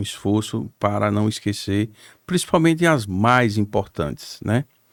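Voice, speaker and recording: The speaker has an ordinary speaking voice with lively intonation and a fairly slow pace. The recording is very clean, with a silent background. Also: man. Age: 60s. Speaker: politician, former mayor. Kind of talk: podcast interview.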